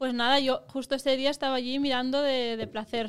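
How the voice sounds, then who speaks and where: A woman is speaking. Her pitch is high. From Catalonia, near Montseny. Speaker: actress. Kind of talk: casual chat.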